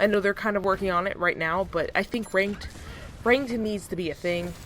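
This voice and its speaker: A woman speaks with a medium pitch and ordinary pitch variation. Noticeable background noise can be heard. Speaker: gaming YouTuber. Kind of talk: casual video commentary. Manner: fast.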